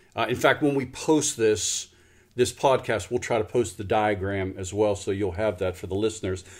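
A man speaks in a normal speaking voice at a fairly low pitch with ordinary pitch variation. His moderate pace is captured on a very clean recording with a silent background. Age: 50s. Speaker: podcast host, pastor ministry. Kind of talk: interview conversation.

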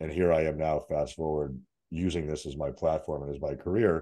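A man speaks in a very deep, low voice with an American accent and vocal fry, his tone dark and mellow. His intonation stays monotone and flat against a quiet background. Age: 40s. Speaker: fitness coach. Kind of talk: casual interview chat.

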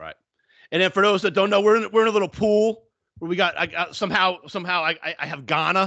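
In a raised, projected voice, a man talks at a very fast pace with a bright, sharp tone, high pitch and fairly even intonation against a quiet background. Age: 50s. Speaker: sports betting podcast co-host. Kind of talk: casual chat.

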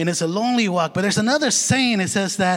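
A high-pitched man's voice with a non-native accent. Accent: foreign. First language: not English. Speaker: lay preacher. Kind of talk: sermon. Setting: church.

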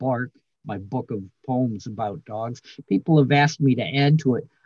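This man talks at a fairly slow pace with a dark, mellow tone and a somewhat breathy quality, recorded dry and close with no echo. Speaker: poet and writer. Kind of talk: casual interview chat.

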